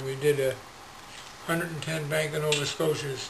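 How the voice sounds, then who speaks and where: Over noticeable background noise and audible room echo, a man speaks at a fairly quick pace with a fairly high pitch and monotone, flat intonation. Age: 70s. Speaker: retired telecom supervisor with Parkinson's. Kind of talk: interview. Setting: garage.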